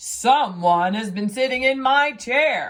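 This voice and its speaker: The voice is a put-on character, pitched high. It moves at a fairly slow pace. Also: female-sounding voice. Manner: gruff, indignant.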